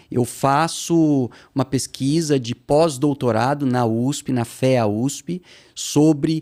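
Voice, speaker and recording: A man's dark, mellow voice with ordinary pitch variation, in a very clean recording over a silent background. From Brazil, interior of São Paulo state (São José do Rio Preto). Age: 50s. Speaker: investor and researcher. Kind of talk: podcast interview. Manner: hesitant, many fillers.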